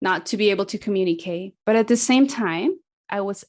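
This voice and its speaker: With a Spanish accent, a woman speaks at a moderate pace using lively intonation. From Latin America. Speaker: missions mobilizer. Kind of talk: interview.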